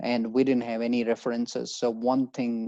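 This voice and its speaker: Recorded dry and close with no echo, a man with an Indian accent speaks at a medium pitch and a fairly slow pace, his dark, mellow tone held in a monotone, flat intonation. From India, Haryana. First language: Hindi. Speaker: job-seeking advisor. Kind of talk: webinar presentation. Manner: halting.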